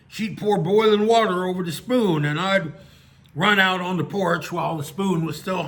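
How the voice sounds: A natural reading voice, with ordinary pitch variation, carries the clip.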